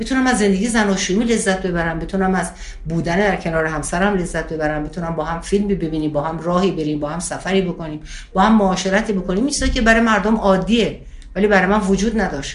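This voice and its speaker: A woman's medium-pitched voice at a very fast pace, with ordinary pitch variation, noticeable background noise and audible room echo. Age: 60s. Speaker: spiritual teacher. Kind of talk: interview.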